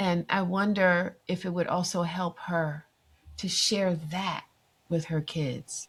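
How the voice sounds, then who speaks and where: On a very clean recording with a silent background, a woman speaks at a fairly low pitch and a very slow pace. Her voice is somewhat breathy, with monotone, flat intonation. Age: 60s. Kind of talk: podcast interview.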